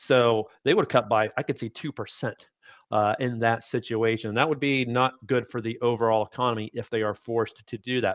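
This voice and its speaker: At a fairly quick pace, a man with a plain, everyday voice and medium pitch speaks with fairly even intonation in a dry, close sound with no echo. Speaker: chief investment officer. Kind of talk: financial analysis interview. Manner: measured, explanatory.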